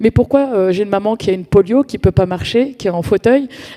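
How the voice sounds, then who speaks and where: This woman talks at a fairly quick pace in a medium pitch. Noticeable background noise runs behind her. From France, Paris suburbs (Val-d'Oise, Cergy). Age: 40s. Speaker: community activist. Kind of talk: conference talk. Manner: hesitant, many fillers and repetitions.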